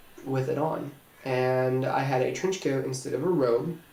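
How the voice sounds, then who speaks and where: A man with an American accent speaks at a medium pitch with fairly even intonation. There is audible room echo and noticeable background noise. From Indiana, Terre Haute. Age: 20s. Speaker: special effects makeup artist. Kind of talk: audition video monologue.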